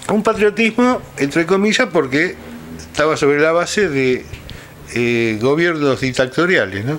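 There is light background noise as a man speaks. His pitch makes very wide swings. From Buenos Aires province, Argentina. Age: 60s. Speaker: historian. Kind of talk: interview. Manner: halting. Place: home room.

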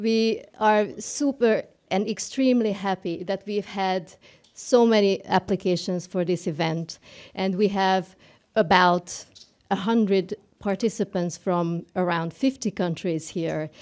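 Woman at a very slow pace, ordinary pitch variation, quiet background. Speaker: event host. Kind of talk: opening welcome speech. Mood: warm, smiling. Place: hall. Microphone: podium.

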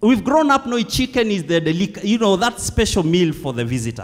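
His pitch swings very widely as the man talks at a moderate pace. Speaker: preacher. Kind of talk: sermon. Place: church. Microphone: handheld.

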